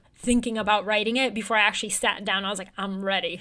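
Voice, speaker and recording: A woman's fairly high voice with a bright, sharp tone and fairly even intonation. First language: Bulgarian. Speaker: newsletter writer and journalist. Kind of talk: interview conversation.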